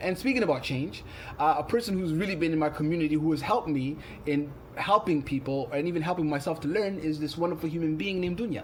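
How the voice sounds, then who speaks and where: Audible room echo surrounds a man talking at a very fast pace in a fairly high voice with ordinary pitch variation. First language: not English; English is third language. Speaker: poet and community arts organizer. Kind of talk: conference presentation.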